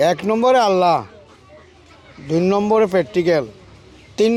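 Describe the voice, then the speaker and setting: A man with a high pitch, over noticeable background noise. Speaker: snake charmer. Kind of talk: interview.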